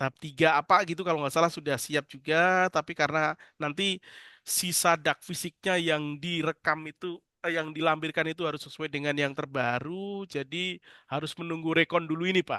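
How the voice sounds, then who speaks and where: Here a man with a fairly high pitch and a bright, sharp tone talks at a fairly quick pace with fairly even intonation. The sound is dry and close with no echo, over a quiet background. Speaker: government finance officer. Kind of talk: online meeting discussion. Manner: halting; loud.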